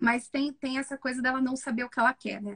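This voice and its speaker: At a fairly quick pace, a woman speaks at a high pitch in a dry, close sound with no echo. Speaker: psychologist. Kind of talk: live stream film analysis. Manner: fast.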